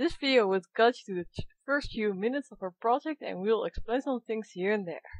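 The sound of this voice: In a Dutch accent, a woman talks at a fairly quick pace with a fairly high pitch, lively intonation, and big swings in loudness.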